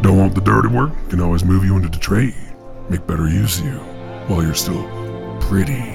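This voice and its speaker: A man talks fairly quickly in a very deep, low voice. Clear music plays in the background. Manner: menacing, sneering.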